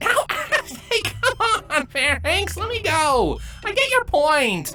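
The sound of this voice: With faint music in the background, a woman does a put-on character voice at a slow pace, extremely high-pitched with big pitch swings and a bright, sharp tone.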